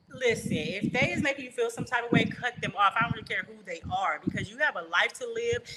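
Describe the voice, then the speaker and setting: Her pitch fairly high, a woman talks at a fairly quick pace with an animated tone and lively intonation. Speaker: livestream host and motivational speaker. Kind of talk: casual livestream talk. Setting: live stream. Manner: loud.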